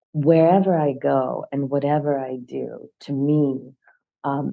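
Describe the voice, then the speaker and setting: A woman is speaking. She has a Russian accent. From Russian-speaking country, moved to Nashville at twelve. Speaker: professor. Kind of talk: casual chat.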